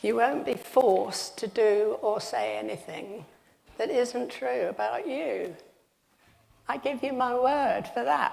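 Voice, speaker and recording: At a very slow pace, a woman speaks amid audible room echo. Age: 70s. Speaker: retired teacher giving a talk in church. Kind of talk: sermon.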